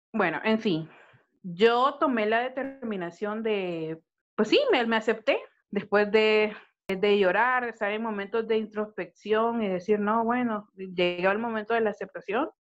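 A woman with an ordinary speaking voice goes at a fairly slow pace, her fairly high pitch showing ordinary variation. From Honduras. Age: 30s. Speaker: podcast co-host. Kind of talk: casual chat.

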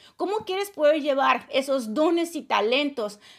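High-pitched woman at a fairly slow pace with lively intonation, in a very clean recording with a silent background. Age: 30s. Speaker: leadership coach and podcast host. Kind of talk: motivational monologue. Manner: casual, with laughs.

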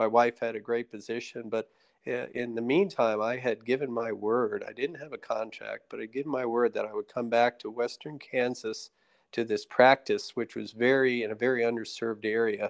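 In a normal speaking voice with an American accent, the speaker talks at a moderate pace with fairly even intonation. The sound is dry and close with no echo, and the background is quiet. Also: man, medium pitch for a man. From New Jersey. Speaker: retired fighter pilot, ophthalmologist and state politician. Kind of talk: casual interview.

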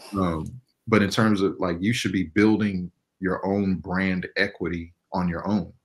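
In a very clean recording with a silent background, a man speaks at a very deep, low pitch in a monotone, flat manner. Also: fairly slow pace. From US West Coast, Inglewood, Los Angeles. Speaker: animation director. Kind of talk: casual interview.

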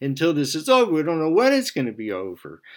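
A man speaks fairly quickly on a very clean recording with a silent background. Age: 70s. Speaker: radio host and writer. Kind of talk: spiritual monologue. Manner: halting, many fillers.

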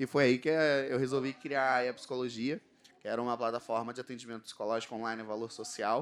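A man with a Rio de Janeiro accent, animated in tone, at a fairly quick pace. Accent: carioca. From Rio de Janeiro, Brazil. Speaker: panel moderator. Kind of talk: panel discussion.

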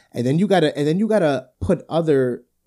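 A man with a New Jersey accent has a dark, mellow tone. He uses lively intonation in a very clean recording with a silent background. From New Jersey, Brick Township. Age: 20s. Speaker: podcast co-host. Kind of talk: casual chat.

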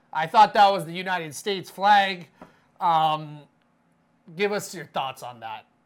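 A fairly slow pace broken by long, frequent pauses. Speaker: podcast host. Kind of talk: casual chat, joking banter.

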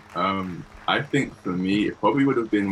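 A moderate pace and lively intonation, backed by music. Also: man. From Bristol, England. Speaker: filmmaker. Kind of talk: online panel Q&A.

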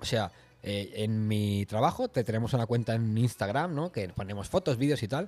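The speaker is a man with a medium pitch and a dark, mellow tone. He keeps a fairly quick pace. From Spain, Barcelona. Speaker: podcast host. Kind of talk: casual chat.

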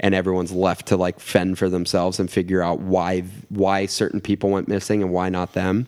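A man with a fairly low pitch and an unremarkable speaking voice talks at a moderate pace on a very clean recording with a silent background. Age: 20s. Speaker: podcast guest. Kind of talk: casual chat.

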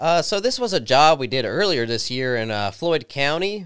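The speaker has an Appalachian accent and talks at a moderate pace. The recording is very clean, with a silent background. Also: man. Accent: southern Appalachian American. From southwest Virginia, Christiansburg. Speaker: goat grazing business owner. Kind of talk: interview. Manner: halting.

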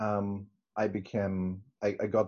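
Male speech in a German accent, fairly low-pitched and fairly even in intonation. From northern Germany, Hamburg area. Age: 40s. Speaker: interviewee, church member. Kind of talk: testimony. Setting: video call. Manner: halting, many restarts.

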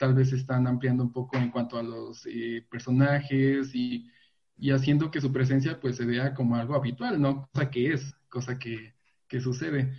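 In a monotone, flat delivery, a somewhat breathy man speaks at a moderate pace and a medium pitch. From Veracruz, Mexico. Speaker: LGBT youth activist. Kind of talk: panel discussion.

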